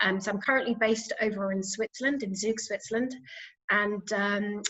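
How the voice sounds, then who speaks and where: A woman's fairly high voice with a British accent, fairly quick in pace and fairly even in intonation. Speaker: pharma executive. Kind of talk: panel discussion.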